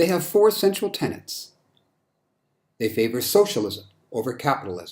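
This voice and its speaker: With a high voice and very wide pitch swings, a man speaks at a moderate pace broken by long, frequent pauses. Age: 60s. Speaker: political commentator. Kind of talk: political monologue with slides. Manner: hesitant with fillers.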